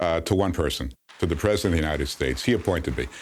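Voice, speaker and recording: A man with an American accent, very deep and low in pitch, vocal fry, lively intonation, very clean recording and silent background. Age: 50s. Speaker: former ambassador. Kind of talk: interview. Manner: halting, many fillers.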